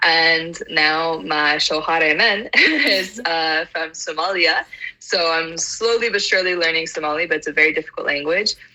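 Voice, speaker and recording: With an American accent, a woman speaks at a moderate pace with hardly any pauses and fairly even intonation over noticeable background noise. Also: fairly low pitch for a woman. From US South (Atlanta, Georgia). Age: 20s. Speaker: polyglot. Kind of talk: casual chat.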